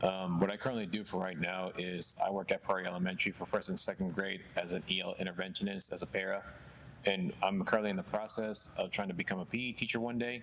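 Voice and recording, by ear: At a fast pace, a man speaks in an American accent with a low pitch and little pitch movement. His tone is fairly bright.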